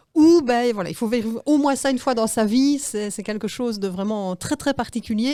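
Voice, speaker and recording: In a Liège accent, the dark, mellow voice moves at a moderate pace with ordinary pitch variation. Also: woman. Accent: Liège Belgian. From Belgium, Liège. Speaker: animal-assisted therapist. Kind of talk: radio interview. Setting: radio studio.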